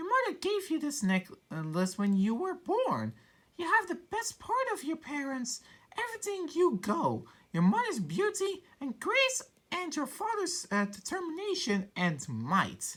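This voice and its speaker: A quiet, squeaky put-on character voice speaks at a moderate pace. Its pitch swings very widely. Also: woman, extremely high pitch for a woman. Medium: virtual streamer. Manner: quiet, gentle.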